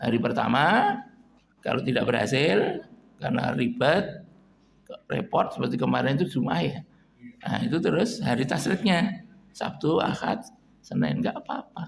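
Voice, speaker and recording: A man with a Javanese accent speaks at a moderate pace, high in pitch with very wide pitch swings. Long, frequent pauses break up his speech over noticeable background noise. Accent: Javanese-accented Indonesian. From East Java, Kediri. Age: 70s. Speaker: Islamic preacher and lecturer. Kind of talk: religious lecture. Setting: mosque, morning study gathering. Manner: informal, mixing Javanese.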